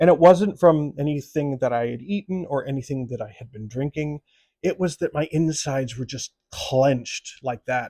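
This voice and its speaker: A man with a fairly high pitch speaks in a dark, mellow, somewhat breathy tone, his loudness swinging widely while his pitch varies in an ordinary way, all in a dry, close sound with no echo. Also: moderate pace. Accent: American. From US Midwest. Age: 60s. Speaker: actor and writer, vlogger. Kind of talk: personal storytelling. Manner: conversational.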